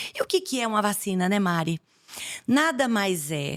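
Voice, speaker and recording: On a very clean recording with a silent background, a woman in a Bahian accent speaks at a medium pitch with lively intonation. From Bahia, Brazil. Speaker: infectious disease doctor. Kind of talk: podcast interview.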